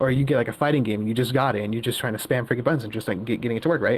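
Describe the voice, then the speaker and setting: A medium-pitched man with fairly even intonation. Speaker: caller. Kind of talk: casual chat. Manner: fast; halting.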